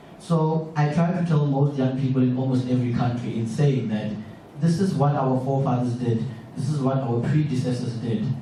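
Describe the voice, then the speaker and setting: Delivered at a moderate pace with ordinary pitch variation, the speech has audible room echo and noticeable background noise. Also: man. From South Africa. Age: 20s. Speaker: audience member asking a question. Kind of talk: public Q&A comment.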